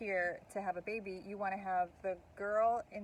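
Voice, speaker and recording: With an ordinary speaking voice, a woman talks at medium pitch with fairly even intonation. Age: middle-aged. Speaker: podcast co-host. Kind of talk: casual chat.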